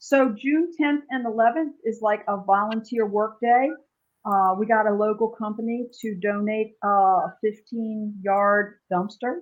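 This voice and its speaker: In a plain, everyday voice, a woman speaks at a fairly high pitch. Her pace is fairly slow, with ordinary pitch variation. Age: 60s. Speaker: animal sanctuary founder. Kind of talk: casual interview.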